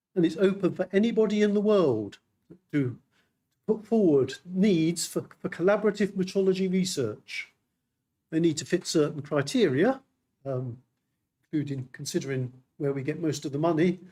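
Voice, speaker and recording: A man with a British accent speaks at a moderate pace in a high voice with a dark, mellow tone. His intonation is lively, and he leaves long, frequent pauses. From United Kingdom. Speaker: metrology official speaking at a symposium. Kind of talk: conference presentation. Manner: halting, many repetitions.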